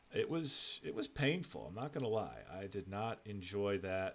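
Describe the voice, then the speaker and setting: Vocal fry marks a man's fairly low pitch. He speaks at a moderate pace with very wide pitch swings. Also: big swings in loudness. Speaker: gaming streamer. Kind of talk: casual gameplay livestream commentary.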